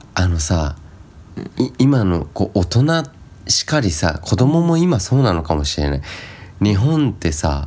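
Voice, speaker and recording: A man speaks at a fairly slow pace in a very deep, low voice, his pitch swinging very widely, with long, frequent pauses and noticeable background noise. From Japan, Shizuoka. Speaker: podcast co-host. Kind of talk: casual chat.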